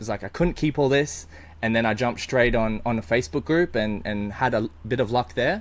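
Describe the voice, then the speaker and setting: A man with an Australian accent and a medium pitch talks fairly quickly with lively intonation. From Australia, Brisbane. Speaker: eBay reseller. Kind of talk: casual interview chat.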